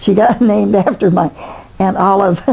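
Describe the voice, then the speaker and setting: A woman at medium pitch, with noticeable background noise. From Indiana, USA. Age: 80s+. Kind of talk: interview answer.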